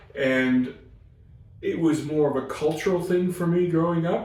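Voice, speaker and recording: A man with an American accent speaks at a moderate pace with ordinary pitch variation. Noticeable background noise and audible room echo surround him. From US Pacific Northwest. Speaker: chaplain. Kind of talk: interview conversation. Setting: crisis centre. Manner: hesitant, many fillers.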